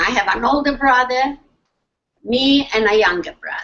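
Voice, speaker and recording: A loud, high-pitched woman with lively intonation. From Poland, Lublin. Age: 80s+. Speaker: Holocaust survivor speaker. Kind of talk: testimony. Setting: video call.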